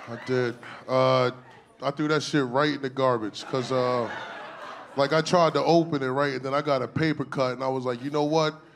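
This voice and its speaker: Over noticeable background noise, a man at medium pitch talks at a fairly quick pace in a flat monotone. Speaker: stand-up comedian. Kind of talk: stand-up comedy set, crude, raunchy storytelling. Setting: stage with audience. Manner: deadpan, conversational, punchline-driven with self-laughs; casual slangy delivery, 'right?' tag after setups.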